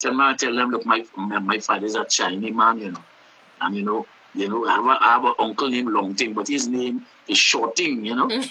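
A fairly quick pace in a Trinidadian accent, over noticeable background noise. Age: 70s. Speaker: calypso singer and songwriter. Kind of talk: casual interview. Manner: animated.

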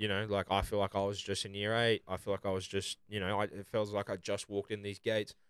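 In a very clean recording with a silent background and a dry, close sound with no echo, a man with an Australian accent talks very fast in a fairly low, flat monotone, with hardly any pauses. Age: 20s. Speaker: podcast host. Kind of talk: casual chat.

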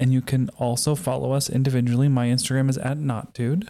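A playful tone, dark and mellow, at a fairly quick pace. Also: man. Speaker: podcast host. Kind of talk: casual chat. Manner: joking, playful.

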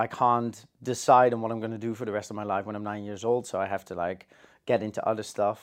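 A man at a medium pitch, set against a quiet background. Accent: Dutch. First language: Dutch. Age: 30s. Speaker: cinematographer. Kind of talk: casual chat. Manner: halting.

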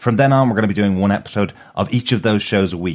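In a very clean recording with a silent background, a man with a very deep, low voice speaks at a very fast pace in an Irish accent with lively intonation. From Ireland. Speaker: podcast host. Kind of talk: casual chat.

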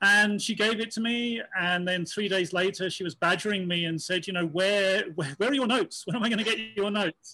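Raised and projected, a bright, sharp voice with a British accent moves at a fairly quick pace with hardly any pauses and ordinary pitch variation. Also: man, high pitch for a man. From UK. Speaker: transgender consultant and producer. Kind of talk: interview.

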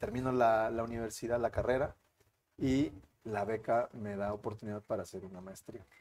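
This man talks at a moderate pace with a medium pitch and fairly even intonation. His loudness swings widely. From Mexico, San Luis Potosí. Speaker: lawyer. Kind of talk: interview. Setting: studio. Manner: halting.

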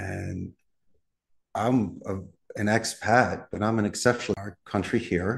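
Against a quiet background, a man with a fairly low pitch speaks at a fairly slow pace, using fairly even intonation and long, frequent pauses. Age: 50s. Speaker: call center business owner. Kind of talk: interview conversation.

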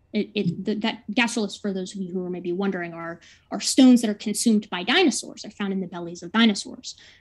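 A woman with a medium-pitched, somewhat breathy voice talks at a fairly quick pace with ordinary pitch variation. Her loudness swings widely, and she hardly pauses. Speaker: debater giving opening statement. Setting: online video call, screen sharing. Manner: fast talker.

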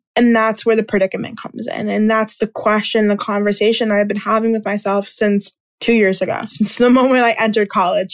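Her pitch fairly high, a woman speaks at a fairly quick pace with monotone, flat intonation. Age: 20s. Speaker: podcast host, student entrepreneur. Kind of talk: solo podcast monologue.

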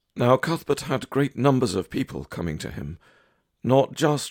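With vocal fry, a man speaks at a moderate pace in a dry, close sound with no echo. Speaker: prayer leader. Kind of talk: devotional reading and litany prayer. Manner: measured, reverent litany cadence, repeating each refrain; earnest, fervent pleading.

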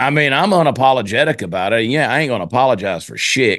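This is a man speaking. He has a Southern US accent. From US South (Georgia). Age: 50s. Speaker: comedian, podcaster and singer. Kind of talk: casual chat. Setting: home studio. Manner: fast.

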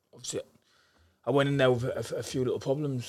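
A man speaks with a northeast English accent. His intonation stays fairly even. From northeast England, Darlington. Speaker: professional boxer. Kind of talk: interview.

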